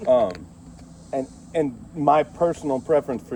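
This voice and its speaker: A man is speaking. His pace is moderate. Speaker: sheriff's deputy. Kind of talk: police eviction warning. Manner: blunt, frank.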